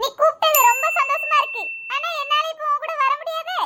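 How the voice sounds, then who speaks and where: Using a cartoonish character voice, a woman speaks at an extremely high pitch with very wide pitch swings and a moderate pace. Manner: chatty, homely.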